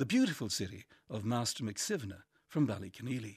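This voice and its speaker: Speaking in an Irish accent at a moderate pace, this somewhat breathy man swings his pitch very widely on a very clean recording with a silent background. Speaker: essayist. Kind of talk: reading aloud.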